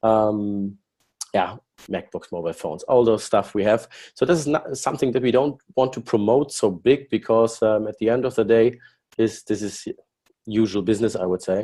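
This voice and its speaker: A man's dark, mellow tone in a German accent, at a moderate pace against a quiet background. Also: medium pitch for a man, ordinary pitch variation. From Germany. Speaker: company executive. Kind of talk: business presentation. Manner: halting.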